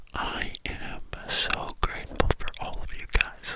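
Over loud background noise, a soft-spoken man whispers at a very slow pace. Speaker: ASMR channel creator. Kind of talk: soft casual chat to viewers. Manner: soft cupped-hand whisper into mic. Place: home room. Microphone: studio mic.

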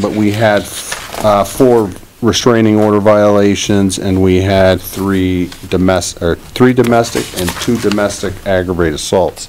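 A man at a moderate pace, with light background noise. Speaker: police chief. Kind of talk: report to board. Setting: town meeting room. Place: hall. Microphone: podium.

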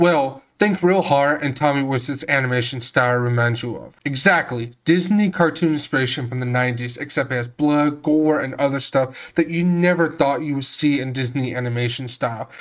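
A man with a plain, everyday voice and fairly high pitch, at a moderate pace with hardly any pauses and ordinary pitch variation. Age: 20s. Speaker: video game reviewer. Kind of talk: scripted narration.

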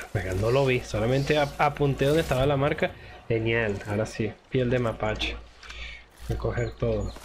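A man talks at a moderate pace with very even loudness over noticeable background noise. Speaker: gaming youtuber. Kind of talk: gameplay commentary. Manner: casual, exclamatory.

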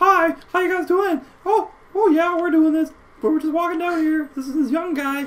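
This squeaky put-on character voice sits at an extremely high pitch and moves at a moderate pace. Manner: bouncy, chatty.

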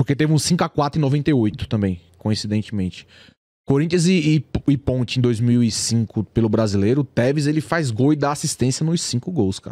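A man's dark, mellow, medium-pitched voice with lively intonation at a moderate pace, in a very clean recording with a silent background and a dry, close sound with no echo. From São Paulo East Zone, Brazil. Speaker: YouTuber, football fan channel creator. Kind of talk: casual chat. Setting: studio.

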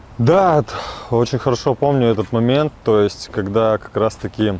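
The man's tone is dark and mellow, with ordinary pitch variation at a moderate pace. The sound is dry with no echo. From Chelyabinsk, Russia. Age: young. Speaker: recovering drug addict in rehabilitation. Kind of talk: interview answer. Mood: sober, regretful. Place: waterside. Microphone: lapel.

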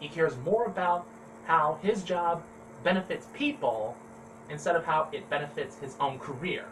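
With an American accent and a high pitch, a man speaks at a moderate pace using lively intonation amid noticeable background noise. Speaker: ventriloquist YouTuber. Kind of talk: casual vlog monologue. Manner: halting, stammering.

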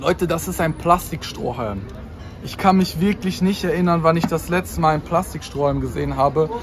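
A man speaks at a fairly quick pace in a high voice with ordinary pitch variation, over noticeable background noise. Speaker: vlogger. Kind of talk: casual vlog chat. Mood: playful mock excitement. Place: street. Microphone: phone near.

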